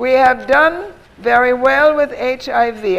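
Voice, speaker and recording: A woman speaks in a high voice. Noticeable background noise runs underneath. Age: 80s+. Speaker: health therapy advocate. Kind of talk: audience Q&A. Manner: brisk.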